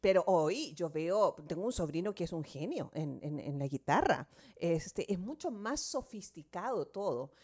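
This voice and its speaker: On a very clean recording with a silent background, a woman with a medium-pitched voice speaks at a fairly slow pace with very wide pitch swings. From southern South America. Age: 60s. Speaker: radio host. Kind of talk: casual chat.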